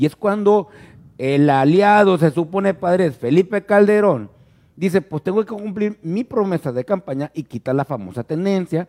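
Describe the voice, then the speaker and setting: Dry and close with no echo, the voice has a dark, mellow tone, lively intonation and a moderate pace. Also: man, high pitch for a man. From Ciudad Obregón, Sonora, Mexico. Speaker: podcast host, journalist. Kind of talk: casual chat.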